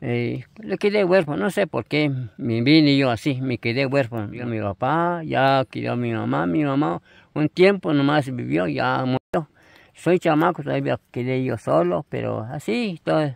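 Over a quiet background, a man speaks at a fairly slow pace with very wide pitch swings, the sound dry with no echo. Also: medium pitch for a man. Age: 80s+. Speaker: elderly farmworker; interviewee. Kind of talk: casual interview. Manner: halting. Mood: sad but resigned. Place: open country. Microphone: phone near.

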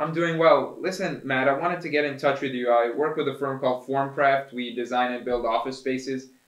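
A man speaks at a fairly quick pace with fairly even intonation. The background is quiet, though room echo is audible. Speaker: sales rep. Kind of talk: sales call role play. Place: meeting room.

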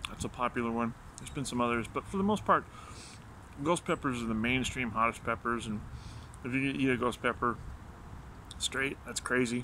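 Light background noise sits behind a man speaking fairly quickly. His pitch varies in an ordinary way. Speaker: vlogger doing pepper challenge. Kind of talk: casual vlog chat. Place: garden. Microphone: phone near.

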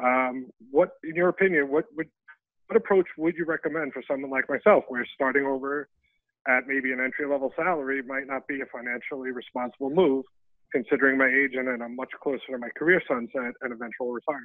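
Against a quiet background, a man with a fairly high pitch and ordinary pitch variation speaks at a very fast pace, the sound dry with no echo. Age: 50s. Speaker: caller, finance broker; caller. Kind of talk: call-in question. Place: home room. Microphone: video call.

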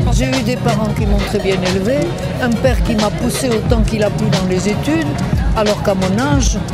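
A woman talks at a moderate pace over loud background music, the sound dry with no echo. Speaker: feminist historian. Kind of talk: interview answer. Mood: calm, reflective. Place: street. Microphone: handheld.

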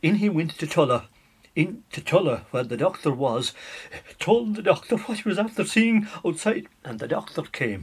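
A man with an Irish accent, high pitch, very wide pitch swings and a moderate pace. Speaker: storyteller. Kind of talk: traditional folk tale telling. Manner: conversational, animated.

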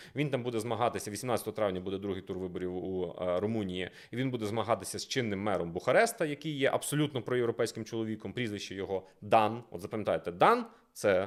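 A man talks in an animated tone at a fairly low pitch, with ordinary pitch variation. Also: fairly quick pace. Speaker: political analyst. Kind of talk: casual discussion.

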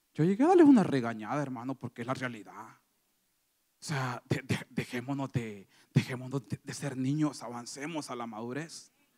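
Over a quiet background, a man with a dark, mellow tone speaks with fairly even intonation and big swings in loudness. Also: moderate pace. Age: 30s. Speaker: lay preacher. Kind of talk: sermon. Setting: church. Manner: halting, frequent repetitions. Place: church. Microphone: handheld.

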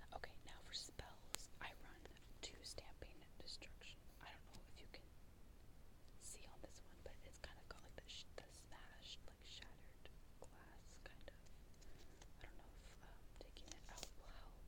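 The speech is whispered. It moves at a fairly slow pace. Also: woman. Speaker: ASMR creator. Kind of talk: ASMR card deck profile, show and tell. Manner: whispered, soft-spoken. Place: home room. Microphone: earbuds.

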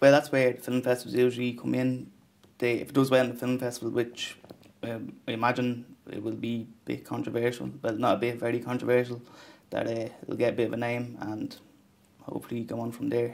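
A man's medium-pitched voice with an Irish accent, fairly quick and monotone, flat in intonation. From Ireland. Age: 20s. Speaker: film director. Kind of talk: interview. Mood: thoughtful, modest. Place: studio.

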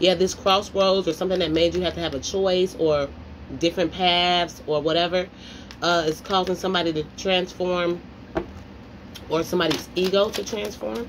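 A woman's fairly low voice at a moderate pace, with fairly even intonation and noticeable background noise. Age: 30s. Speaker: tarot reader. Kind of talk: tarot reading monologue. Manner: casual, rambling speech. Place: home room. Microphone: phone near.

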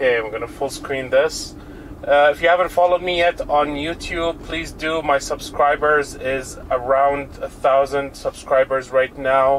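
Through light background noise, a man speaks fairly slowly with fairly even intonation. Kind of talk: casual commentary. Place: car.

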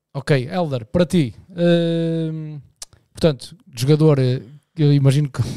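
A man at a very slow pace, with ordinary pitch variation and a dry sound with no echo. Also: quiet background. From Portugal. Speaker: podcast host. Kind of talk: casual chat. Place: studio. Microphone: studio mic.

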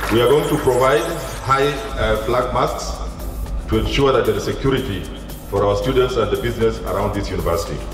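Over clear background music and audible room echo, a man talks at a fairly quick pace. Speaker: guest. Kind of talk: public speech. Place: stage.

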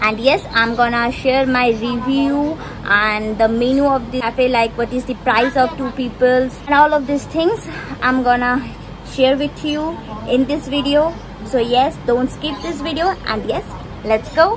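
A high-pitched woman at a fairly slow pace, over noticeable background noise. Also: ordinary pitch variation. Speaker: food vlogger. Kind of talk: casual vlog chat. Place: street. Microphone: phone near.

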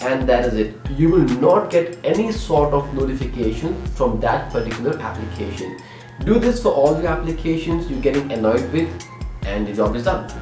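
A man speaks at a moderate pace while clear music sounds behind him. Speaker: tech channel host. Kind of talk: tutorial. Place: home room. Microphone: camera far.

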